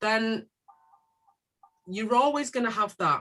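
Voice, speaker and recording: Fairly high-pitched, a woman with a Manchester accent talks at a moderate pace in a bright, sharp tone. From northern England, South Manchester. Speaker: community organisation leader. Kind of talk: panel discussion.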